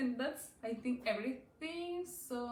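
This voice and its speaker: A woman's high voice, very slow and lively in intonation, with audible room echo. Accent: Chilean Spanish. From Chile. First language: Spanish. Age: 20s. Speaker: knitting podcaster. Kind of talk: casual chat. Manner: halting.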